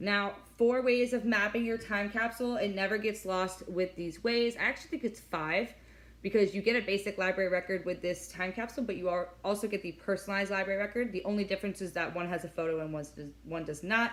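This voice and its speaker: At a very fast pace, a woman with a medium pitch speaks with ordinary pitch variation. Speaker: online shopping show host. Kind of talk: product explainer. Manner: stuttering.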